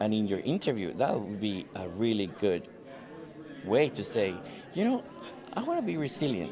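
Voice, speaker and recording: A man with a Spanish accent talks at a moderate pace and fairly low pitch with lively intonation and long, frequent pauses, over noticeable background noise and audible room echo. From Venezuela. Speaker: recruiter. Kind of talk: street interview. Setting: conference.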